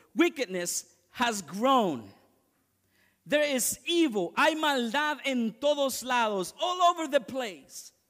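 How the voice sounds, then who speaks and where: Against a quiet background, a man with an extremely high-pitched voice speaks at a very slow pace with lively intonation. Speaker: pastor. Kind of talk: fervent bilingual sermon, lines echoed in English and Spanish. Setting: church. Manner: punctuates lines with repeated amens, calling for congregation response. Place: church.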